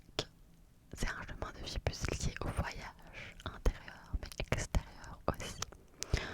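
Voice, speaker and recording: A woman whispers very slowly in a soothing tone. Background noise is noticeable. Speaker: ASMR content creator. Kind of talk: ASMR whispered numerology explanation. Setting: close-up studio microphone. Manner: whispered, slow, soothing.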